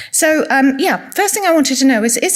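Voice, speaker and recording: A woman speaks very fast in a high voice with an English accent. Her pitch varies in an ordinary way. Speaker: retiring specialist nurse giving a conference talk. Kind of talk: conference lecture. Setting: conference room with audience. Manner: soft-spoken.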